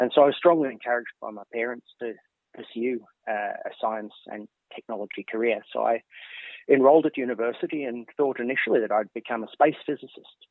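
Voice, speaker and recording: With an Australian accent, the speaker rushes at a very fast pace, keeping intonation fairly even while loudness swings widely. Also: man. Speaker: professor. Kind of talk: interview. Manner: halting.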